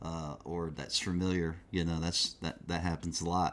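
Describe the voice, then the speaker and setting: Speaking with a Southern US accent, a man talks at a very deep, low pitch. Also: very clean recording, silent background. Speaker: metal magazine interviewer. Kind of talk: casual interview.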